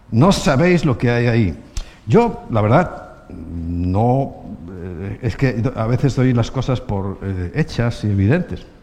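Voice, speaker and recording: A man speaks at a very slow pace, his pitch swinging very widely. Room echo is audible around him. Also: medium pitch for a man. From Spain. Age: 60s. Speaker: pastor. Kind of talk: sermon.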